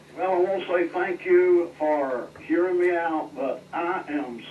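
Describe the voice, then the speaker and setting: Speech comes at a very slow pace with fairly even intonation. Noticeable background noise is present. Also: man. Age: 70s. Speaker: caller. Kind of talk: call-in talk radio.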